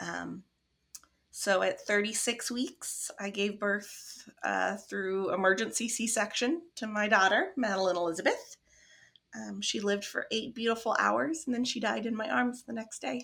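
In a Midwestern accent, a woman speaks at a fairly slow pace on a very clean recording with a silent background. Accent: general American, Midwestern. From US Midwest. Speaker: grief support founder, bereaved mother. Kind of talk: casual interview chat.

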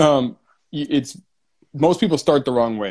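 Using a normal speaking voice with ordinary pitch variation, a man with an American accent speaks at a fairly quick pace. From US West Coast, San Diego. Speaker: entrepreneur. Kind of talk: casual interview chat. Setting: live stream.

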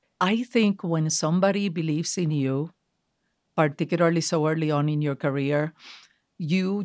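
A woman's very deep, low voice at a moderate pace, with ordinary pitch variation, on a very clean recording with a silent background. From Puerto Rico. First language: Spanish. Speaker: marketing executive. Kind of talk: interview. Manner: animated.

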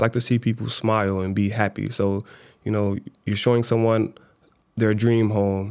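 In a very clean recording with a silent background, someone with an American accent speaks at a moderate pace in a monotone, flat intonation with long, frequent pauses. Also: man, fairly low pitch for a man. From Chicago South Side. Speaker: law student and part-time realtor. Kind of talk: interview.

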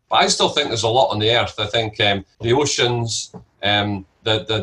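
A man with a Scottish accent talks at a fairly quick pace, his medium-pitched voice bright and sharp in tone. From Scotland. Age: 50s. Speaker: entrepreneur and investor. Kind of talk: interview.

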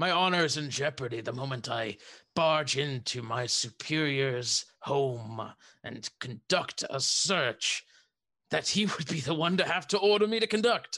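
Putting on a raspy character voice, a man speaks at a moderate pace in a fairly high pitch with lively intonation. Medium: actual play. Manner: stern, curt.

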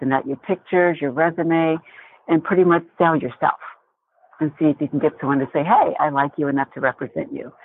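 Using an unremarkable speaking voice, a woman with an American accent talks at a moderate pace and fairly low pitch, with ordinary pitch variation. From Indiana, US Midwest. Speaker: actress. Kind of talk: interview.

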